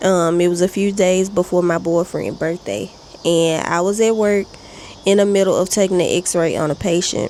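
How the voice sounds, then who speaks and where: A woman with a fairly low pitch and fairly even intonation talks at a moderate pace over noticeable background noise. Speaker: vlogger. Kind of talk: casual chat. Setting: outdoors on porch.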